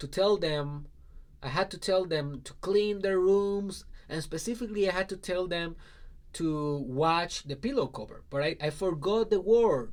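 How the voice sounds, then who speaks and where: Fairly slow speech from a man with a high pitch, ordinary pitch variation and big swings in loudness, on a very clean recording with a silent background. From Puerto Rico, rural southwest. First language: Spanish. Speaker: life coach. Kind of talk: personal story talk.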